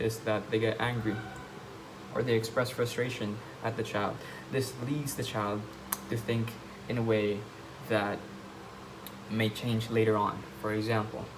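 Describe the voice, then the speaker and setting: A man with a non-native accent and a medium pitch talks fairly slowly with fairly even intonation and long, frequent pauses, with audible room echo and noticeable background noise. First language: not English. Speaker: vlogger. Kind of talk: casual monologue. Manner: halting.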